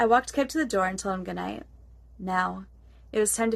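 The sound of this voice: The speaker reads in an unforced voice.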